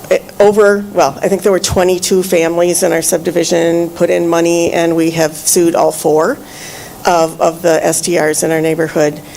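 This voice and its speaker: A woman's fairly low voice at a moderate pace, with fairly even intonation and noticeable background noise. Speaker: public commenter, former planning commissioner. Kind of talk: public comment at meeting. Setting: township meeting room. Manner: loud; halting, many fillers.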